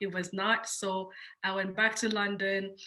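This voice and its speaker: Speaking with a French accent, a woman keeps a moderate pace. Her medium pitch carries a bright, sharp tone. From Switzerland, Geneva. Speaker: entrepreneur. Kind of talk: panel interview. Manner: halting.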